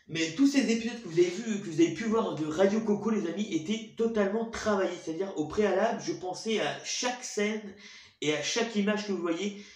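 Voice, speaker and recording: A man's speech rings with audible room echo. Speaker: YouTuber, show host. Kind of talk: casual monologue to viewers. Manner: fast; stuttering, halting.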